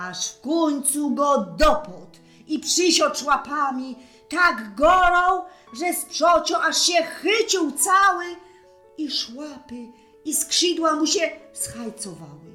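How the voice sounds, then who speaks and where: A woman uses a raised, projected voice in a Silesian accent, high in pitch with lively intonation. She talks at a very slow pace while music plays in the background. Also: big swings in loudness. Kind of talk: read story.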